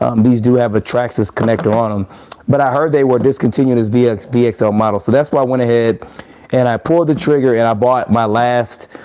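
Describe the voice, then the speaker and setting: Fairly quick, relaxed delivery with fairly even intonation over noticeable background noise. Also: man. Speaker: RC hobby YouTuber. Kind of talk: live stream chat with viewers. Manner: casual, relaxed.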